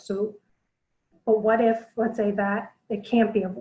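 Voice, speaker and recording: A soft-spoken woman talks in a dark, mellow tone, somewhat breathy, with monotone, flat intonation. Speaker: blogger and self-defense presenter. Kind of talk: webinar presentation. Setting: online webinar.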